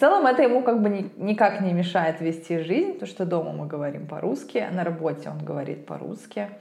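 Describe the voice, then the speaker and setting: The speech runs on with hardly any pauses, heard through audible room echo and noticeable background noise. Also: woman. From Russia. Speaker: podcast host, lawyer, English teacher. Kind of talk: casual chat. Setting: call.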